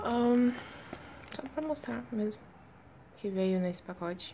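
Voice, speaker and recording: A woman's voice moves through very wide pitch swings over noticeable background noise. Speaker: K-pop fan vlogger. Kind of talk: unboxing video.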